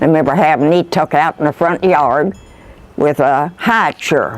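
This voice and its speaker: A woman with a very deep, low pitch and a rural Kentucky accent at a fairly slow pace. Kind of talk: oral history interview answer.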